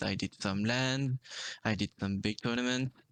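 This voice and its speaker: Quiet surroundings and a man's dry, close sound with no echo. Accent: non-native. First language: not English. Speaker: esports player. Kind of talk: casual interview.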